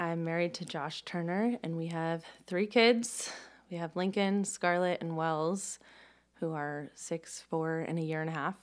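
The woman has a fairly low voice with ordinary pitch variation. Her pace is fairly slow. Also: very clean recording, silent background. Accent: American. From Tallahassee, Florida. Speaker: church member sharing her story. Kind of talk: casual chat, personal interview.

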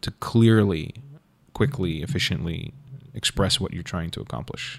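A man at a moderate pace with a fairly low pitch. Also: very clean recording, silent background. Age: 30s. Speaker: cinematographer. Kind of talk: casual chat.

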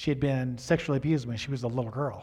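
Somewhat breathy, a man speaks at a very fast pace and medium pitch. His intonation is monotone and flat, with audible room echo. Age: 60s. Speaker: pastor. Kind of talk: sermon. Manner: halting.

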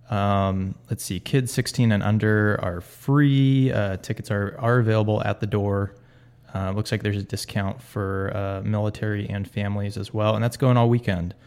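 A man's unremarkable speaking voice, fairly low in pitch, with fairly even intonation at a moderate pace. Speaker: podcast host. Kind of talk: casual chat, podcast.

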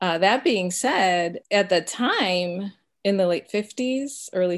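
Her pace is very slow as this woman talks. The pitch rises and falls in an ordinary way. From US Midwest, Chicago area (Mexican American family). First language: Spanish. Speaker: pediatric dentist and instructor. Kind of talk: interview.

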